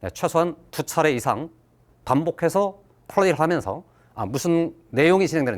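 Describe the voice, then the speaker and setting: Over a silent background in a very clean recording, a man speaks at a moderate pace and fairly high pitch, with vocal fry and ordinary pitch variation. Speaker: math teacher. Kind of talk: lecture.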